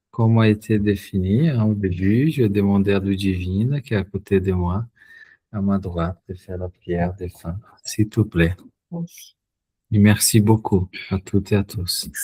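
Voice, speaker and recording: A man with a Portuguese accent speaks fairly slowly, leaving long, frequent pauses, with a fairly low pitch and fairly even intonation. His voice is somewhat breathy with a dark, mellow tone, and the sound is dry and close with no echo. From Brazil. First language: Portuguese (speaking French). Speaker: spiritist study group leader. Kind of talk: online study group discussion.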